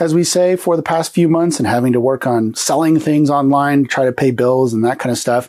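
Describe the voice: A man speaks in a nasal, slightly mellow tone at a medium pitch with ordinary pitch variation.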